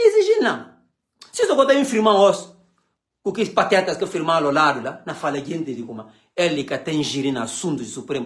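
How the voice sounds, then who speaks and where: Over a quiet background, a man speaks at a moderate pace in an animated tone, high in pitch, with very wide pitch swings and big swings in loudness. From Guinea-Bissau. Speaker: political commentator. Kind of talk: political rant. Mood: angry, mocking. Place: home room. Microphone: phone near.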